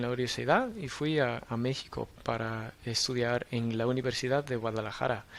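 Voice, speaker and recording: Speaking rather slowly, a man keeps a mid-range pitch and a mostly level intonation. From Australia. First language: English (speaking Spanish). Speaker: university lecturer in public policy. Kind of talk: podcast interview. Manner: halting, many fillers.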